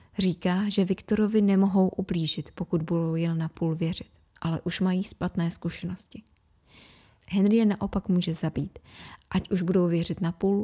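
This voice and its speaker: A woman speaks at medium pitch with monotone, flat intonation. Her dark, mellow tone is somewhat breathy, with a dry, close sound and no echo. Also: moderate pace, very clean recording, silent background. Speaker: podcast host. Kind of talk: horror audiobook reading.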